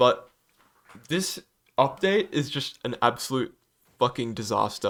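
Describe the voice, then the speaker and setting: This man speaks at a moderate pace. The recording is very clean, with a silent background. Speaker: gaming YouTuber. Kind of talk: casual opinion monologue. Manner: halting, many fillers and repeats; apologetic, earnest.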